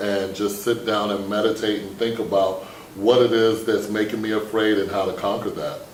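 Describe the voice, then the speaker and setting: Noticeable background noise and audible room echo fill the recording. A man speaks at a medium pitch and a moderate pace. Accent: American. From New York, with childhood moves incl. Germany. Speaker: school staff member on morning broadcast. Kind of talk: school morning broadcast discussion.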